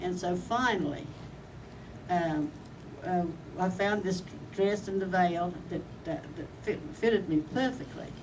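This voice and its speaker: Audible room echo surrounds a woman speaking at a moderate pace and medium pitch with ordinary pitch variation. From Australia, Brisbane. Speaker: war bride. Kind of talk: personal storytelling. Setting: reunion event. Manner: halting, with many fillers and restarts.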